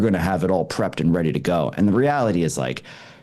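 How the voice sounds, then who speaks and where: Talking at a very fast pace, a man with a Canadian accent uses lively intonation in a very deep, low pitch while noticeable background noise runs underneath. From Canada. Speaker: wedding photographer and educator. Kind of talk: interview.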